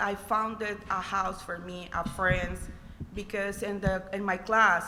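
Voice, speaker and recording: A woman's medium-pitched voice in a Spanish accent, flat and monotone at a fairly slow pace, with audible room echo and noticeable background noise. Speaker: college student, scholarship recipient. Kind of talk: personal testimony speech. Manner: halting, non-fluent English.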